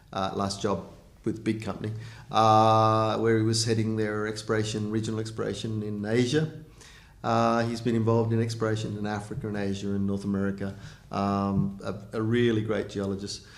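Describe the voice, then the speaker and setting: With an Australian accent, a man talks at a fairly quick pace in a monotone, flat intonation and a fairly low pitch, with audible room echo. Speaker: mining company CEO. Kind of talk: interview. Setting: recorded video interview. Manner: halting, many fillers.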